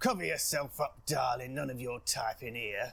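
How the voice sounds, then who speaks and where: Putting on a raspy character voice, a man speaks at a moderate pace and medium pitch with ordinary pitch variation. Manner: gruff, dismissive.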